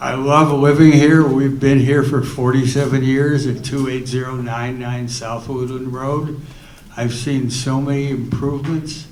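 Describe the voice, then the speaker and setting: Amid audible room echo, a man talks at a medium pitch and a fairly slow pace in monotone, flat intonation. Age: 80s+. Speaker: resident speaking at public meeting. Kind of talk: public comment at town hall. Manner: halting.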